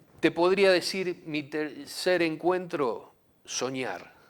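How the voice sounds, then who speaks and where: A man speaks at a very slow pace. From southern Santa Fe, Argentina. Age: 60s. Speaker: musician, former football figure. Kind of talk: interview. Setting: studio.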